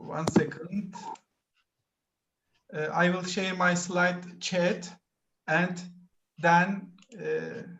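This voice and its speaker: With long, frequent pauses and a very slow pace, a high-pitched man speaks in a flat monotone as room echo is audible. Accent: Turkish. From Turkey. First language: Turkish. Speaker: PhD student presenter. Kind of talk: conference presentation. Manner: halting.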